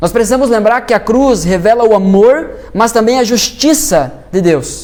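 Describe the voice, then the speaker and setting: Against noticeable background noise and audible room echo, a man speaks at a moderate pace in a high pitch with lively intonation. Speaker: pastor. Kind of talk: sermon. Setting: church.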